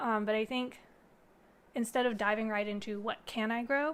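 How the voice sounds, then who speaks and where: A woman speaks with a fairly high pitch. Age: 30s. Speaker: gardening youtuber. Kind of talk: live stream chat. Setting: live stream. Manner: casual with many fillers.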